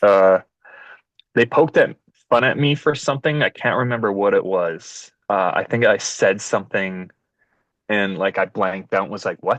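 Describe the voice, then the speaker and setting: An unremarkable speaking voice with a Canadian accent talks at a moderate pace with ordinary pitch variation, the sound dry and close with no echo. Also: man, fairly low pitch for a man. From Canada, Winnipeg. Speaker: dodgeball referee and stream organiser. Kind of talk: podcast interview. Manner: casual, many filler words.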